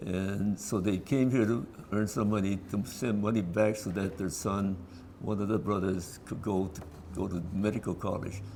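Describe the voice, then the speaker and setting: With an American accent, a man speaks in a fairly low pitch, using a dark, mellow tone and fairly even intonation. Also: moderate pace. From California, San Fernando Valley. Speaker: descendant of an internee. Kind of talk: oral history interview. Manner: halting.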